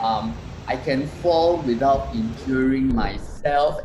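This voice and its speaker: Very slowly, a man speaks with lively intonation. There is audible room echo along with noticeable background noise. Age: 60s. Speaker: wellness product presenter. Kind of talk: live stream presentation. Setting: live stream. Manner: hesitant, many fillers.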